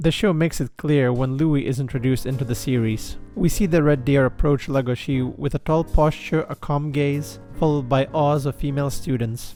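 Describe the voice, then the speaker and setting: A man with fairly high pitch and ordinary pitch variation talks at a fairly quick pace with hardly any pauses. Music plays in the background. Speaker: video essayist. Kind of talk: character analysis narration. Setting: home recording, cheap microphone.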